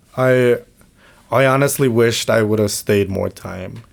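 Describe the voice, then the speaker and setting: This man talks at a fairly slow pace with a Mexican accent. His pitch is medium and his intonation fairly even. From Mexico. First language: Spanish. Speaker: podcast co-host. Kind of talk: casual chat. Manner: halting.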